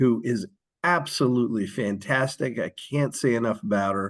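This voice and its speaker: In an American accent, a man uses an ordinary speaking voice at a medium pitch with lively intonation. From US, Philadelphia. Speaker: social worker and author. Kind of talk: podcast interview.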